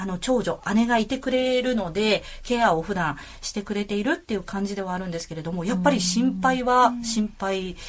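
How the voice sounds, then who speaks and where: A woman with a normal speaking voice talks at a moderate pace, medium in pitch with ordinary pitch variation. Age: 40s. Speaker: podcast host. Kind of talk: casual chat. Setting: studio.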